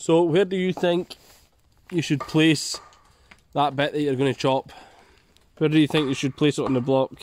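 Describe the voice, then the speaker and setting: A man with a Scottish accent talks at a fairly high pitch and moderate pace, leaving long, frequent pauses. His intonation is fairly even, the sound is dry with no echo, and light background noise is present. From Scotland. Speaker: bushcraft video creator. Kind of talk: outdoor tutorial vlog. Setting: outdoors in forest. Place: forest. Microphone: phone near.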